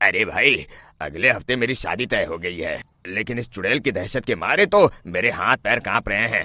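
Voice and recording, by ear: A cartoonish character voice with a bright, sharp tone and lively intonation. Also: man, fairly low pitch for a man, moderate pace.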